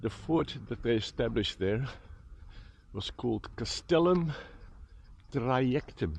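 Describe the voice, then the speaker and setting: Speech comes at a fairly slow pace with lively intonation. The accent is Dutch. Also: man. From Netherlands, Utrecht. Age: 60s. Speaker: vlogger. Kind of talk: walking vlog narration. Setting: outdoors.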